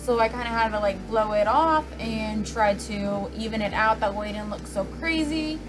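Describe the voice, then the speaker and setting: With music in the background, a woman speaks with ordinary pitch variation. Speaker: beauty vlogger. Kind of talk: tutorial. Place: home room. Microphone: phone near.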